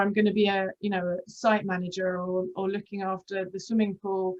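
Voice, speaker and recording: At a fairly quick pace, a woman talks with a British accent. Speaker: aqua fitness instructor and interviewer. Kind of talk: casual interview chat. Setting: video call.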